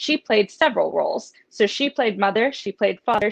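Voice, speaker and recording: In a dry, close sound with no echo, a woman with an American accent speaks in an unremarkable speaking voice, fairly high in pitch with ordinary pitch variation. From US, southwestern Pennsylvania near Pittsburgh. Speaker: veterinary student and author. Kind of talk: interview.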